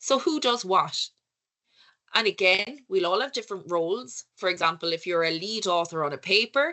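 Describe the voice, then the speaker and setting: A woman with an Irish accent and lively intonation. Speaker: conference speaker on research leadership. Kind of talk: lecture. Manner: conversational, with filler words.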